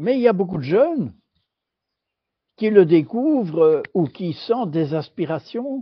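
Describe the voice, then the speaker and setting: Very slowly and with long, frequent pauses, a man speaks at a high pitch, his pitch swinging very widely. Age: 80s+. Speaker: former European Union official. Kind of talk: interview.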